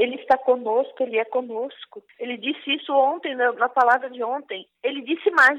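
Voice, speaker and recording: This woman speaks at a fairly slow pace with a high pitch. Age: 60s. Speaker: prayer group coordinator. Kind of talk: testimony and preaching. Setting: online radio broadcast.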